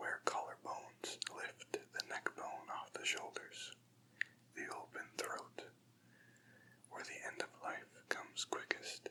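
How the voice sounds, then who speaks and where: Whispering from a man at a very slow pace, broken by long, frequent pauses. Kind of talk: ASMR poetry reading. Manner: whispered, soft-spoken.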